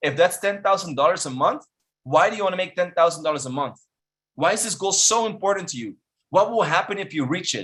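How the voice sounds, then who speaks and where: A man speaks in an animated tone at a high pitch. He has a non-native accent. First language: not English. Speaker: online marketing instructor. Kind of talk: webinar presentation. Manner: animated, motivational; repeats words, halting.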